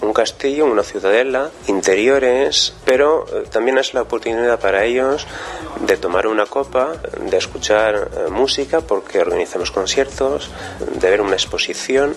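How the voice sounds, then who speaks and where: A man at a fairly slow pace, very even in loudness, with music in the background. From southern France, Minervois, of Spanish parents. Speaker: heritage site cultural manager. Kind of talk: interview. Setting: on location at historic site.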